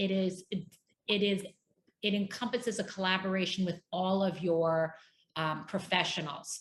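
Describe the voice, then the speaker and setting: A woman speaks with a plain, everyday voice. Her pitch is medium and her intonation fairly even. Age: 50s. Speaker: divorce coach. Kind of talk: interview.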